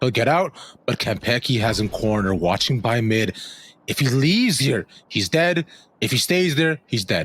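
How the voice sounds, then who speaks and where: A man holds very even loudness at a medium pitch while his pitch swings very widely. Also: moderate pace. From immigrant, non-English-speaking country. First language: not English. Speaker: esports play-by-play caster. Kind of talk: live commentary.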